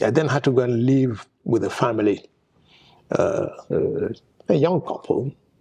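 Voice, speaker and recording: Somewhat breathy, a man with a Nigerian accent talks at a medium pitch with lively intonation. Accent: solid Nigerian. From northern Nigeria, Zaria. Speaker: petroleum engineer. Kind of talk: oral history interview. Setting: conference venue. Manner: halting, repeats words.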